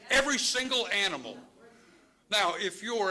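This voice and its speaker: Audible room echo around a man in an American accent. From Chicago. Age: 70s. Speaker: public commenter at school board meeting. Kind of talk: public comment speech. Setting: public board meeting. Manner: impassioned; halting, with many fillers.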